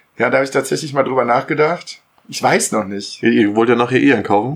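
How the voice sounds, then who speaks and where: Speaking at a fairly quick pace, a man uses a medium pitch and ordinary pitch variation. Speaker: podcast co-host. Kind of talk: casual chat. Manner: laughs a lot.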